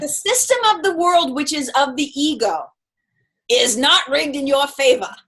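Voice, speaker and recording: A woman's high-pitched voice makes very wide pitch swings. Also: moderate pace. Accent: Boston. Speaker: spiritual mentor. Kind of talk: casual chat. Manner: animated.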